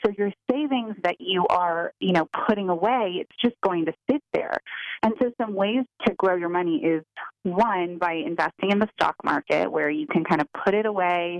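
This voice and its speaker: A woman with an unremarkable speaking voice talks at a moderate pace in a medium pitch with lively intonation, the sound dry and close with no echo. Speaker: financial advisor. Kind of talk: advice.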